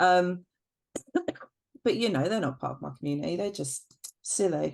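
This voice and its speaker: The woman's voice sits fairly low in pitch. Her intonation is lively, and her pace is moderate. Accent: British. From UK. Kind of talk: casual chat. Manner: hesitant, many fillers.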